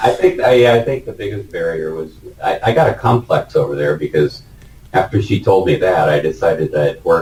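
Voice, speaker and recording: A man with an American accent talks at a fairly quick pace. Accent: typical American. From United States. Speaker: retired engineering manager interviewed about working in Vietnam. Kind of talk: casual interview.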